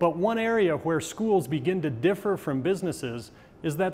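Over light background noise, a man with a high pitch speaks at a moderate pace with ordinary pitch variation. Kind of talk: lecture. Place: studio. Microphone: lapel.

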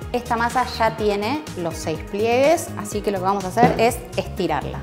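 Clear music can be heard behind the speaker. She is a woman going at a moderate pace. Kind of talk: tutorial. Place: kitchen. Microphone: lapel.

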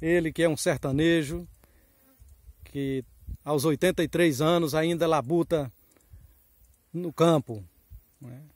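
A man with a fairly high voice speaks very slowly, with long, frequent pauses and fairly even intonation. His loudness swings widely, and the sound is dry with no echo against a quiet background. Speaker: interviewer and videographer. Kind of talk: casual interview host outdoors. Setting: outdoors. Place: forest. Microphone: phone near.

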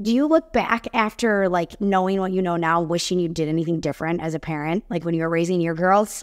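Speaking with an American accent, a woman moves at a fairly quick pace. Her pitch is fairly low, with ordinary variation. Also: quiet background. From Chicago suburbs. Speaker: podcast host. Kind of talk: interview. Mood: curious, interested. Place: home room. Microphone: webcam.

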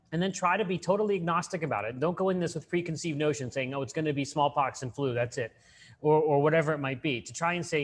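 A man talks at a very fast pace. His voice is somewhat breathy. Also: ordinary pitch variation. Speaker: conference presenter. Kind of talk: lecture. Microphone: webcam.

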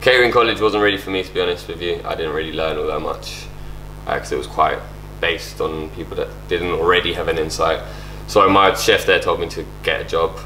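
Noticeable background noise and audible room echo surround the recording. A man speaks at a fairly quick pace. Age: 20s. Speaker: chef. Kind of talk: interview. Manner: halting.

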